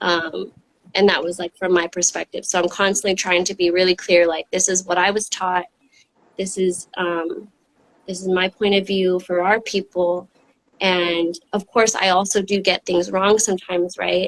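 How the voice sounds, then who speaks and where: Heard with a dry, close sound and no echo, the voice moves at a moderate pace with monotone, flat intonation. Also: woman, medium pitch for a woman. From Texas (Austin), Mexican-American. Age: 30s. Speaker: arts educator. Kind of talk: casual chat. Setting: online livestream.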